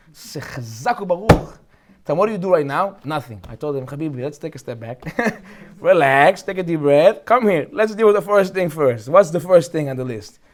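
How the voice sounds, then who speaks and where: Over noticeable background noise, a man with an American accent speaks at a fairly quick pace and fairly high pitch, his tone animated, his intonation lively and his loudness swinging widely. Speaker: rabbi teaching a Torah class. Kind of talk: Torah lecture.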